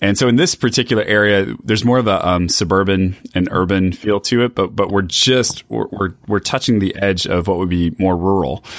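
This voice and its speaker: An unremarkable speaking voice from a man with an American accent, fairly low in pitch, at a fairly quick pace with hardly any pauses, ordinary pitch variation and very even loudness. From East Texas. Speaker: pastor. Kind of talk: casual interview conversation.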